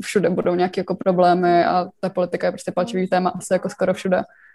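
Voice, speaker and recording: A woman's medium-pitched voice carries a dark, mellow tone. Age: 20s. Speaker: university student. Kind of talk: group discussion.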